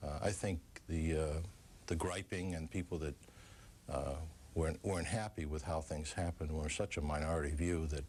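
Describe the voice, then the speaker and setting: A man with a Boston accent speaks at a moderate pace in a very deep, low pitch, somewhat breathy, with long, frequent pauses. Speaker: former FBI official. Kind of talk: TV interview.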